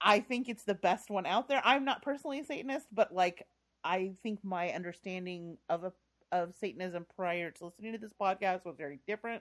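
Very fast, lively speech from a woman of medium pitch with an American accent and big swings in loudness. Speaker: podcast host. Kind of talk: casual chat.

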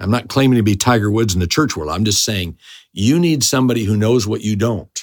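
A man's medium-pitched, unremarkable speaking voice at a fairly quick pace, on a very clean recording with a silent background. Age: 50s. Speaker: pastor. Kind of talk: interview.

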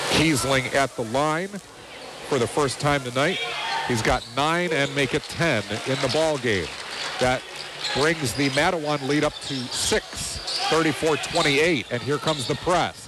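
With noticeable background noise behind him, a man talks at a fairly slow pace and a fairly high pitch, with ordinary pitch variation and very even loudness. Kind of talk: live radio play-by-play basketball commentary. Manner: lifts in excitement on made shots, then settles back into an even, informative tone.

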